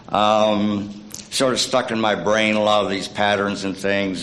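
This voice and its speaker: Speaking at a moderate pace with a fairly low pitch, a man talks in an East Tennessee accent, with audible room echo around him. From East Tennessee (Scott County, Cumberlands). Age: 70s. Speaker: church member giving a short sermon. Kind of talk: sermonette. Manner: halting, many fillers.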